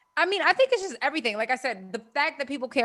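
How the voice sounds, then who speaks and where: Speaking at a very fast pace with lively intonation, a woman with a Baltimore accent comes through in a dry, close sound with no echo. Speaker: podcast co-host. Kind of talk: casual chat.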